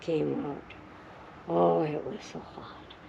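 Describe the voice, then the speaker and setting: A woman talks very slowly, with audible room echo and noticeable background noise around her. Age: 90s. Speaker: grandmother telling stories. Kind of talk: casual chat.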